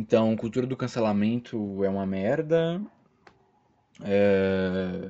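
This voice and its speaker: The speaker has a Brazilian accent and a very slow pace. Pitch varies in an ordinary way, with long, frequent pauses. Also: man, fairly low pitch for a man. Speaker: solo podcaster. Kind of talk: casual monologue. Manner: animated; halting.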